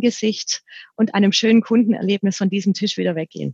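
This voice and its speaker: A woman speaks at a medium pitch with a slight southern German accent. Her voice is somewhat breathy, and the sound is dry and close with no echo. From southern Germany. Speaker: franchise recruiting director. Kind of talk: podcast interview.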